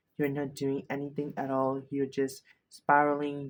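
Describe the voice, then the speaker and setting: A man's voice sits fairly high in pitch. He is soft-spoken. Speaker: self-help video creator. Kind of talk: motivational talk. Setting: filming at night, self-recorded. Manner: halting.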